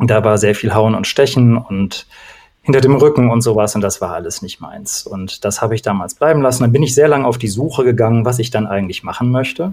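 A man with an unremarkable speaking voice, medium pitch, ordinary pitch variation and a fairly quick pace. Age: 40s. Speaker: coach, former opera singer. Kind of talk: casual chat.

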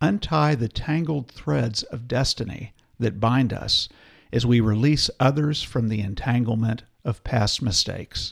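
Gentle and warm in tone and somewhat breathy, a man speaks fairly slowly in a medium pitch with ordinary pitch variation. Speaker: podcast co-host. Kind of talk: casual chat; reading aloud a prayer, solemn and devotional. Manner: slow, reverent, gentle, reading with warm emphasis.

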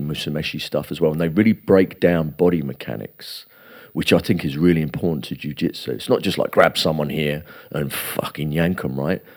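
With vocal fry and fairly even intonation, a man speaks at a fairly quick pace in a very deep, low pitch. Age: 40s. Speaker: jiu-jitsu academy owner. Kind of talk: casual chat.

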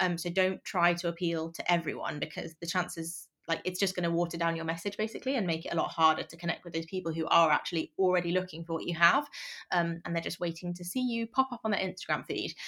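A woman speaks at a very fast pace in a fairly low pitch. Her tone is bright and sharp, with ordinary pitch variation. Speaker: branding photographer. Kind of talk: interview. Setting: remote call.

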